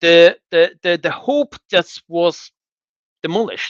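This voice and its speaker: With an Azerbaijani accent, a man talks with very wide pitch swings in a dry, close sound with no echo and a quiet background. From Azerbaijan, south (Lankaran region). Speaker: former diplomat, political commentator. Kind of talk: interview discussion. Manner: halting with repetitions.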